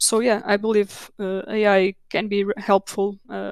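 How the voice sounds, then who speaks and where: A woman's medium-pitched, monotone, flat voice in a Portuguese accent, dry and close with no echo, on a very clean recording with a silent background. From Portugal. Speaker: technical documentation manager. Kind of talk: conference Q&A. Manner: halting, many repetitions.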